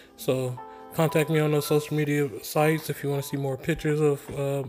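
A man at a fairly quick pace, monotone and flat in intonation, with faint music in the background. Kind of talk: casual tutorial chat. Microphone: phone near.

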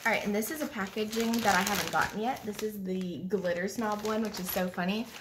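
Noticeable background noise sits behind the recording. A woman talks through it at a moderate pace. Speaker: beauty hobby vlogger. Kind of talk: casual unboxing vlog chat. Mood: excited, cheerful. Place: kitchen. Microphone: phone near.

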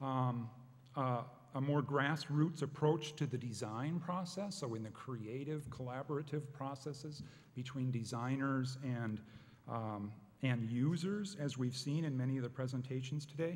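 The voice is somewhat breathy, with ordinary pitch variation and a moderate pace. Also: man. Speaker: panel moderator. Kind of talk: conference introduction, partly read. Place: hall. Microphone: podium.

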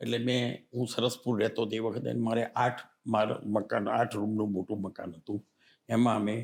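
A man speaks with a fairly low pitch. His intonation stays monotone and flat. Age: 80s+. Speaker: retired accountant and social worker. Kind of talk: interview.

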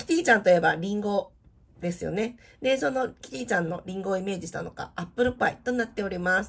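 A woman with a medium pitch talks at a very fast pace in a somewhat breathy voice, her intonation lively and her loudness swinging widely. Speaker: theme park vlogger. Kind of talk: product showcase narration. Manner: polite, formal.

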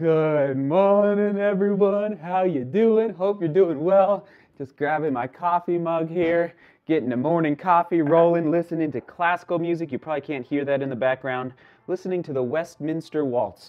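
Over a quiet background, a man with a high pitch speaks at a moderate pace with ordinary pitch variation. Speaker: runner vlogger. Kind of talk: casual vlog chat. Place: kitchen. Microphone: camera far.

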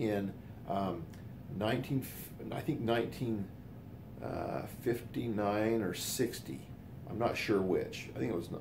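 Noticeable background noise sits behind a man speaking at a fairly slow pace. His voice is fairly low in pitch and somewhat breathy. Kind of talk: casual storytelling monologue. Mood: warm, reminiscing. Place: home room. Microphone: phone near.

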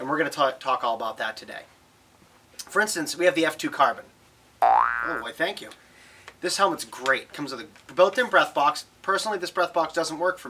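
A man talks fairly quickly. Light background noise runs underneath. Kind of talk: product tutorial. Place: shop.

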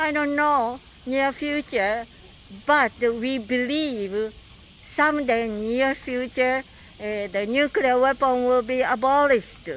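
Very slowly, a woman with a high-pitched voice and a Japanese accent speaks in dry sound with no echo and light background noise. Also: ordinary pitch variation. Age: 80s+. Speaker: atomic bomb survivor and peace activist. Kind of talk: recorded video message. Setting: outdoors. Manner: halting. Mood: earnest, hopeful. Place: street. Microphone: handheld.

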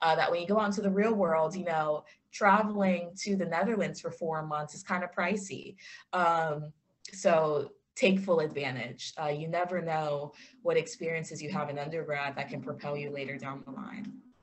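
Somewhat breathy and fairly low-pitched, a woman speaks at a moderate pace with big swings in loudness. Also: ordinary pitch variation. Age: 20s. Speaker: clinical social worker and yoga instructor; yoga instructor. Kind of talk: online talk with Q&A. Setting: video call. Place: office. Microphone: video call.

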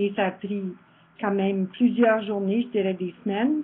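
Woman with ordinary pitch variation. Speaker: event organizer closing the day. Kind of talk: closing remarks, thanks.

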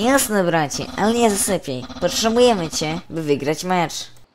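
A put-on character voice, female-sounding and middle in pitch, over clear background noise. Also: moderate pace. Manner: loud, boastful, cheerful.

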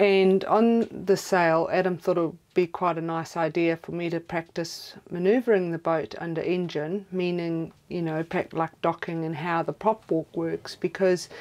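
A fairly low-pitched woman's voice, fairly slow and fairly even in intonation. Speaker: sailing vlogger. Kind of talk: casual vlog chat. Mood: calm, explanatory. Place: boat. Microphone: lapel.

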